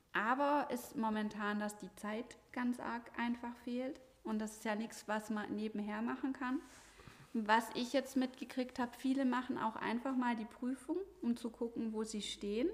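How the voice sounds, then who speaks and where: A woman's high-pitched voice, fairly slow and fairly even in intonation. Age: 40s. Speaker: CrossFit gym owner and coach. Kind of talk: casual interview chat.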